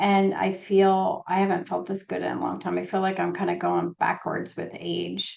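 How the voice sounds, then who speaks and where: Pauses are almost absent. The pace stays moderate. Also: woman. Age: 50s. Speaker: holistic nutritionist and author. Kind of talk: casual chat.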